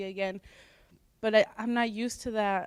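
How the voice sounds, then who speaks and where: Speaking with a Spanish accent, a woman uses a fairly high pitch and fairly even intonation at a moderate pace. The recording is very clean, with a silent background. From US (raised from age three), born in Mexico. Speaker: student panelist. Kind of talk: personal testimony on a panel.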